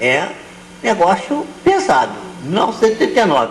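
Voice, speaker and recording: A man speaks with a high pitch. Noticeable background noise and audible room echo are present. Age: 70s. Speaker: spiritist lecturer. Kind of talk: lecture.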